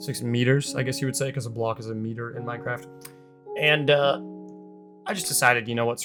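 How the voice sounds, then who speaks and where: Over music in the background, a man at medium pitch talks at a very fast pace with long, frequent pauses and fairly even intonation. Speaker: gaming YouTuber. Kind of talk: game commentary voice-over. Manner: casual, joking.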